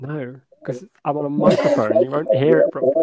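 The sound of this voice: A man speaks at a fairly quick pace with fairly even intonation. His voice sits at a medium pitch and has a dark, mellow tone.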